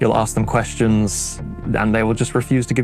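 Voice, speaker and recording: Over background music, a man with a fairly low pitch talks at a fairly quick pace with fairly even intonation. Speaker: voice director. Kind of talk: interview answer.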